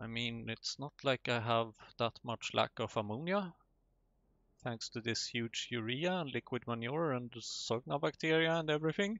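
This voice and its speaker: A man with a non-native accent speaks at a moderate pace. His medium pitch carries lively intonation. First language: not English. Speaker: gaming YouTuber. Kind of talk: let's play commentary.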